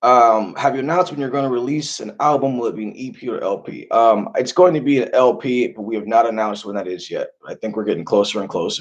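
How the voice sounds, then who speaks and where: A man speaks at a medium pitch and a fairly quick pace, with ordinary pitch variation. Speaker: rock singer and songwriter. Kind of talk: livestream Q&A reading viewer comments. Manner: casual, halting with many fillers and repeats.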